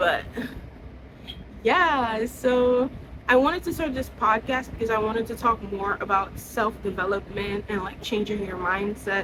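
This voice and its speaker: A woman speaks with a fairly high pitch, and noticeable background noise can be heard behind her. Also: ordinary pitch variation, fairly slow pace. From Trinidad and Tobago. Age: 20s. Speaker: content creator. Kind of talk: casual monologue.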